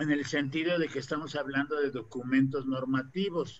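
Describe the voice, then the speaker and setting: With a bright, sharp tone, a man talks at a fairly slow pace and with ordinary pitch variation. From Mexico. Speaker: panel host, university professor. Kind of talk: live online panel discussion. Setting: video call livestream. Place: home room. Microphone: video call.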